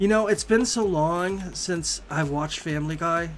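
A man with an American accent over faint music in the background. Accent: regional American. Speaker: game streamer. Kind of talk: casual, conversational. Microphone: headset.

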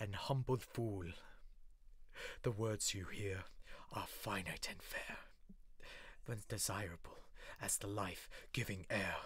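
A man puts on a sing-song character voice. He speaks at a fairly slow pace. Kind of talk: horror verse monologue. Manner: gleeful, menacing, singsong.

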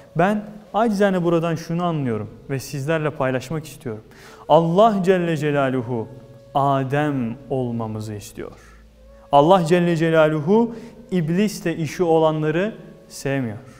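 Faint music plays in the background while a man speaks at a fairly slow pace. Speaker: religious talk host. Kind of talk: sermon. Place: church. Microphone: lapel.

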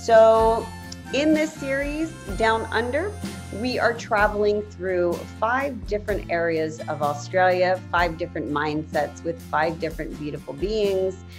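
A woman speaks at a fairly slow pace with clear music in the background. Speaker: podcast interviewer. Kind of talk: interview questions. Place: home room. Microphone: webcam.

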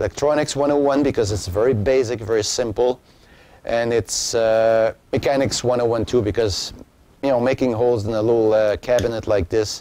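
At a moderate pace, a man speaks with very even loudness, a dark, mellow tone and fairly even intonation, the sound dry with no echo. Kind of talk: tutorial. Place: garage. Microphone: lapel.

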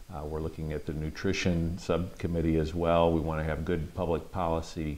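The speaker talks at a moderate pace with an American accent. The intonation stays monotone and flat. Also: man. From Michigan (Midland); Michigan. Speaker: congressman. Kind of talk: interview. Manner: halting, many fillers. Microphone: lapel.

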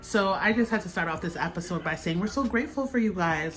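A woman's voice with faint music in the background. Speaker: host filming her father. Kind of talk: casual vlog chat. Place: kitchen.

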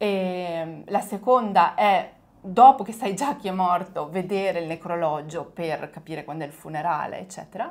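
A woman with a normal speaking voice talks at a moderate pace and a medium pitch, with ordinary pitch variation and big swings in loudness. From small village in northern Italy. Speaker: Italian teacher. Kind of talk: casual chat.

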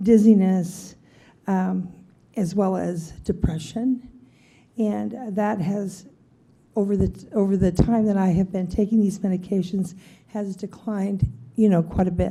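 A woman speaks at a medium pitch, somewhat breathy, with a dark, mellow tone. She goes at a fairly slow pace with fairly even intonation and long, frequent pauses. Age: 70s. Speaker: member of the public. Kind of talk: public testimony at county meeting. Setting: county board meeting.

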